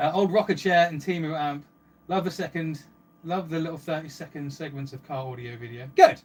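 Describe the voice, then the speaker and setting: With an English accent, a man speaks at a fairly quick pace, showing ordinary pitch variation and big swings in loudness. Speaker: livestreamer and car audio hobbyist. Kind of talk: live stream chat reading comments. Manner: fast; animated.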